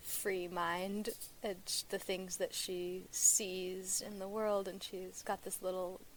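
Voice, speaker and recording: A woman with an American accent, a medium pitch, and monotone, flat intonation. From US Pacific Northwest. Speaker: singer-songwriter. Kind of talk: podcast interview.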